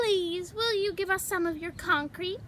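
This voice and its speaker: A woman does a put-on character voice, extremely high-pitched and squeaky. She keeps a moderate pace over clear background noise. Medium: read story. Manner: timid but stubborn.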